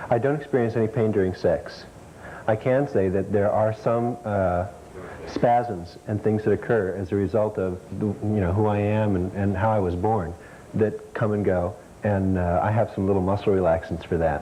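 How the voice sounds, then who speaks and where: Noticeable background noise sits behind a man's voice. His pitch is fairly low and his intonation fairly even. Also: moderate pace. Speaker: intersex guest on talk show. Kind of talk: talk show interview. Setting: TV studio with audience.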